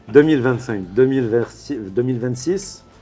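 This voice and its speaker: Against music in the background, the speaker talks at a moderate pace with lively intonation. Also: man. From Lebanon. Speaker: real estate salesperson. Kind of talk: interview. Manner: halting, with many repetitions and false starts.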